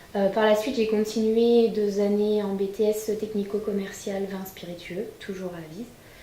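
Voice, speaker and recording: Amid noticeable background noise and audible room echo, a woman at a medium pitch talks at a fairly slow pace with hardly any pauses, flat, monotone intonation, and big swings in loudness. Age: 20s. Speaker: winegrower. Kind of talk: interview testimony.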